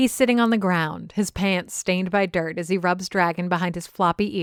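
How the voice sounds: A natural reading voice and its ordinary pitch variation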